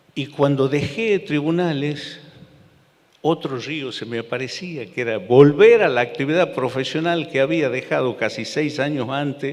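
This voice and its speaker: The speech comes at a fairly slow pace. Noticeable background noise runs underneath it. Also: man, fairly high pitch for a man, ordinary pitch variation. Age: 60s. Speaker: lawyer and former federal judge. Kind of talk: public talk. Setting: theater stage with audience. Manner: halting, repeats words.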